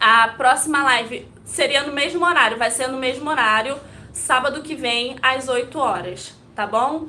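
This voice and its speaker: A woman's high, raised, projected voice at a fairly slow pace, with ordinary pitch variation, audible room echo and noticeable background noise. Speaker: Montessori educator. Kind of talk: live stream talk to viewers. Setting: live video stream. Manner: occasional stumbles.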